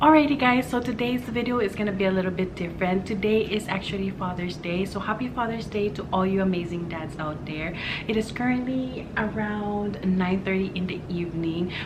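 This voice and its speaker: A quiet woman's voice at medium pitch, fairly quick and with hardly any pauses, ordinary pitch variation, audible room echo and noticeable background noise. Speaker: beauty and lifestyle vlogger. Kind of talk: casual vlog talk to camera. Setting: at home, partner in bedroom. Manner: hushed, quiet.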